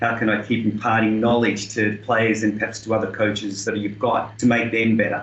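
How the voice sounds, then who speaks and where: Over noticeable background noise, a man with an Australian accent talks at a fairly quick pace in a fairly low, monotone, flat voice with hardly any pauses. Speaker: tennis coach and senior player. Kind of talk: interview.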